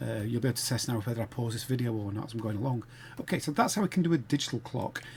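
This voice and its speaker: With ordinary pitch variation, a man's voice comes across somewhat breathy. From northern England, Sheffield. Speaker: game development tutor. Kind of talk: tutorial.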